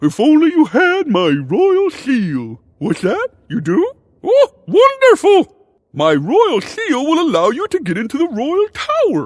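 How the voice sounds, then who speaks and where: Putting on a character voice, a man speaks with extremely high pitch. His pace is fairly slow. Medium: video game. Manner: airy, theatrical.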